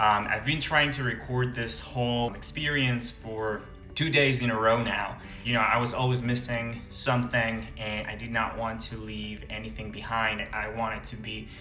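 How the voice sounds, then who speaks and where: A man's medium-pitched voice, with fairly even intonation, comes through over music in the background. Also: moderate pace. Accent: Venezuelan. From Venezuela. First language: Spanish. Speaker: international medical graduate. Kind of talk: casual talk to camera.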